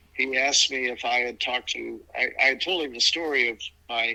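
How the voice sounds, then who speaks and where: With an American accent, the speaker uses a bright, sharp tone at a moderate pace. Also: man. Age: 70s. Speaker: adoptee telling his story. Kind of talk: interview testimony. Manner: halting, repeats words.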